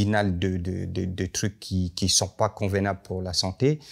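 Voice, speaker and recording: Against a quiet background, a man talks at a fairly slow pace in a very deep, low pitch. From northern Cameroon. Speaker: contemporary artist and designer; guest. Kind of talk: panel talk. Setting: library event with audience. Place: hall.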